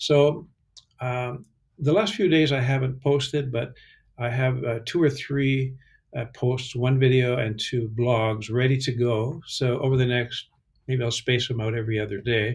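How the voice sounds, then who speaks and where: On a very clean recording with a silent background, a man speaks at a fairly slow pace with a medium pitch, fairly even intonation and a somewhat breathy quality. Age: 70s. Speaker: psychotherapist and voice workshop teacher. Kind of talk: casual vlog monologue. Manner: halting, many fillers.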